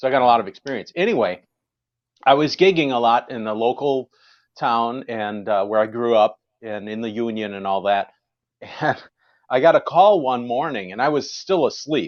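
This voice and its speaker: Moderate pacing broken up by long, frequent pauses. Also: man, medium pitch for a man, ordinary pitch variation. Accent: American. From Wisconsin. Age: 50s. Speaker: jazz musician. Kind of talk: casual chat.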